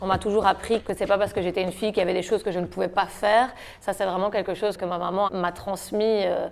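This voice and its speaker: Talking at a very fast pace, a woman holds a medium pitch in monotone, flat intonation. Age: 20s. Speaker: slam poet. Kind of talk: interview.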